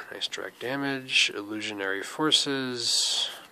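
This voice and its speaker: A man talks at a very slow pace and medium pitch. Noticeable background noise is present. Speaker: card game video host. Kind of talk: unboxing commentary.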